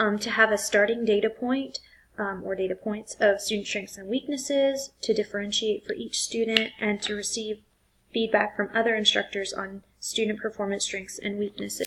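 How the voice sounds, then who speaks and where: This woman has a fairly high pitch and fairly even intonation. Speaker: teacher in training presenting coursework. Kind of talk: recorded class assignment presentation. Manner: fast; hesitant, many fillers.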